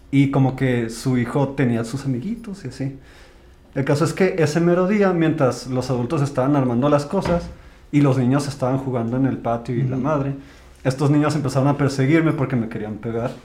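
This man has a dark, mellow, somewhat breathy voice at medium pitch, talking at a fairly quick pace with ordinary pitch variation amid audible room echo. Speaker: podcast co-host. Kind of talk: casual chat.

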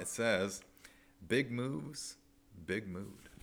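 A man with a normal speaking voice, an American accent, fairly low pitch, ordinary pitch variation and a fairly slow pace, on a very clean recording with a silent background. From Nebraska, US Midwest. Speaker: podcast host. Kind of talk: casual chat.

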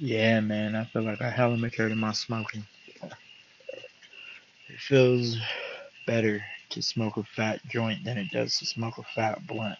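A man's medium-pitched voice with fairly even intonation at a fairly slow pace, over noticeable background noise. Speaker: podcast host. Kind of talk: casual monologue. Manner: laid-back.

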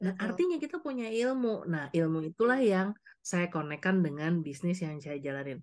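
Fairly quick speech with very wide pitch swings. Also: woman. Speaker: coach and trainer, former corporate HR employee. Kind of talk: interview.

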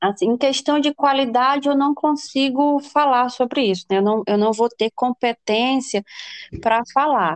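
Her voice high in pitch, a woman speaks at a fairly slow pace with ordinary pitch variation and very even loudness, the sound dry and close with no echo. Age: 20s. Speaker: business administrator and future medical student. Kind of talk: casual interview.

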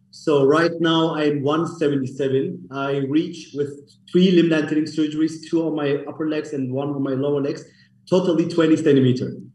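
With audible room echo, a man talks at a moderate pace in a fairly high pitch and monotone, flat intonation. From Germany, Munich. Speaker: clinic co-founder. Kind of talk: interview.

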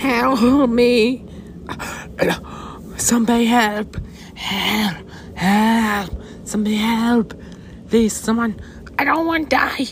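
A female-sounding, put-on character voice with a fairly high pitch shouts at a very slow pace with long, frequent pauses. Clear background noise can be heard. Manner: desperate screaming for help.

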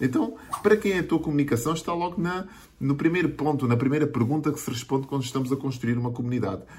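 The speaker talks at a very fast pace in a European Portuguese accent, with lively intonation. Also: man, fairly high pitch for a man. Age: 40s. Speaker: digital marketing coach. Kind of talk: video monologue tutorial.

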